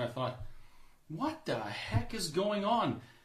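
Amid noticeable background noise and audible room echo, a man speaks with a Canadian accent. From Canada (Alberta). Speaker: restaurant owner and activist. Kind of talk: casual interview. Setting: studio.

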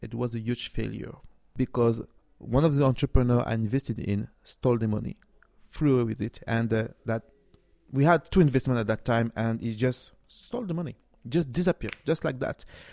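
A man with a French accent, medium in pitch with a dark, mellow tone, ordinary pitch variation and a moderate pace. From France, Cameroonian family. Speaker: tech startup CEO. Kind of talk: interview. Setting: tech conference.

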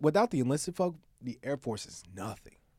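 A man's plain, everyday voice, medium in pitch, at a moderate pace with lively intonation, on a very clean recording with a silent background. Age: 20s. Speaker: marketing entrepreneur. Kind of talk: casual chat.

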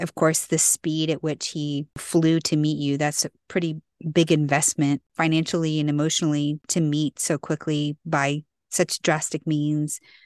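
This woman's pitch is very deep and low, her intonation monotone and flat. She speaks at a fairly slow pace in a dry, close sound with no echo against a quiet background. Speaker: podcast co-host. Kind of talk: casual interview chat.

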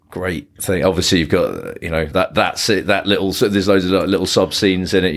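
Fairly quick speech from a man with a very deep, low pitch. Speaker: podcast co-host. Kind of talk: casual chat.

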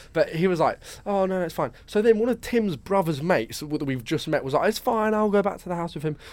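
Speaking very fast, a man uses a high pitch in a southern English accent. The recording is very clean, with a silent background. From southern England, Brighton. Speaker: podcast co-host. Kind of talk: casual chat.

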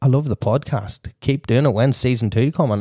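A man's medium-pitched, somewhat breathy voice with a dark, mellow tone and a Northern Irish accent, at a moderate pace with ordinary pitch variation, in a very clean, dry, close recording with a silent background and no echo. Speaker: podcast host and wedding DJ. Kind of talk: casual interview chat.

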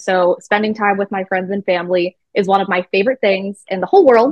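A woman with an American accent has an unremarkable speaking voice, a medium pitch and ordinary pitch variation. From Arizona. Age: 20s. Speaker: pageant titleholder. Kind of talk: interview.

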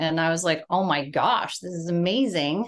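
Her pitch is medium and varies in an ordinary way as a woman speaks with a Californian accent. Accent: Californian American. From US West Coast (San Diego, California). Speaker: beauty business founder. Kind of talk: interview.

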